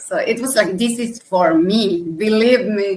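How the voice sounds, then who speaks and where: Her voice sits at a fairly high pitch. The woman speaks at a fairly slow pace. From Argentina. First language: Spanish. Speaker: software tester and conference speaker. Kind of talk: interview.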